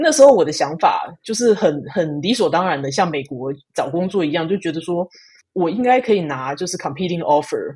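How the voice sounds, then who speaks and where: A woman with an unremarkable speaking voice talks at a fairly quick pace, her fairly low pitch carrying lively intonation. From Taiwan. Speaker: engineering program manager. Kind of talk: casual interview.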